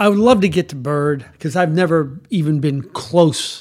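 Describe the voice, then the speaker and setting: A man with a plain, everyday voice, fairly high in pitch, speaks at a moderate pace. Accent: American. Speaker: TV sports director. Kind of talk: casual chat.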